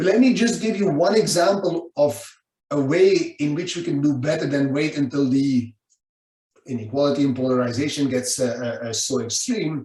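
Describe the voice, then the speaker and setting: Somewhat breathy, with a dark, mellow tone, a man speaks at a moderate pace with lively intonation and a fairly high pitch. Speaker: economics professor. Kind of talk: book talk lecture. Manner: hesitant with fillers and repeats.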